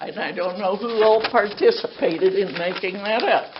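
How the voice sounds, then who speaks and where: A woman with an American accent speaks with ordinary pitch variation, with noticeable background noise and audible room echo. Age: 80s. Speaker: resident addressing city council. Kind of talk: public comment complaint. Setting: city council meeting.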